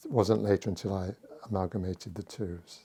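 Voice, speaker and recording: A very deep, low male voice, dark and mellow, somewhat breathy, with fairly even intonation. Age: 80s+. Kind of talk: oral history interview. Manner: halting.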